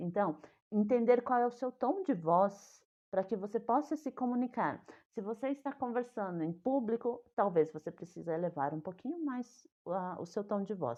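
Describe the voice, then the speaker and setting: With an ordinary speaking voice, a woman talks at a moderate pace, her fairly high pitch carrying lively intonation. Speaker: communication coach. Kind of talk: online talk on communication.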